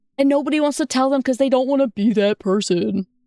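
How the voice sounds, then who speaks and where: Loud and dark, mellow in tone, a woman speaks in a high pitch at a fairly quick pace with ordinary pitch variation, the sound dry and close with no echo. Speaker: vtuber streamer. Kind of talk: casual chat. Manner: animated.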